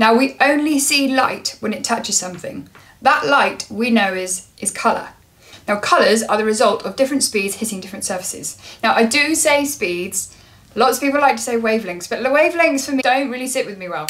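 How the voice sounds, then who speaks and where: Speaking at a fairly quick pace, a woman uses lively intonation. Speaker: lighting designer vlogger. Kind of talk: casual explainer vlog. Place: home room.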